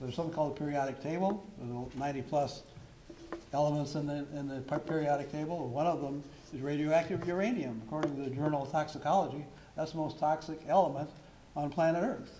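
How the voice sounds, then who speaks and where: A man's voice with fairly even intonation, audible room echo and noticeable background noise. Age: 70s. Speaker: member of the public giving testimony. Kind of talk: public testimony at a town hall meeting. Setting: town hall meeting. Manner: hesitant, with frequent fillers.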